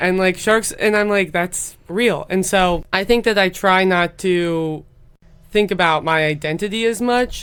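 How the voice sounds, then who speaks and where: A woman with an ordinary speaking voice, medium pitch and an American accent, at a fairly slow pace with ordinary pitch variation and very even loudness, on a very clean recording with a silent background. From US Midwest. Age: 20s. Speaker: tech startup founder. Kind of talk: podcast interview.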